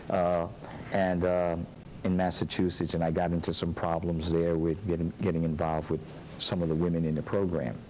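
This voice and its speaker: A man with a very deep, low pitch talks at a fairly quick pace in a monotone, flat intonation. Audible room echo surrounds his voice. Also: very even loudness. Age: 60s. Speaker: pastor. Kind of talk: interview. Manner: halting.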